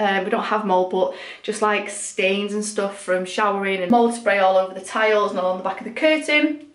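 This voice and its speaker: Audible room echo surrounds the speech. The pace is fairly quick, with ordinary pitch variation. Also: woman, hardly any pauses. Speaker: home vlogger. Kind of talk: casual vlog chat. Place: bathroom. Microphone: phone near.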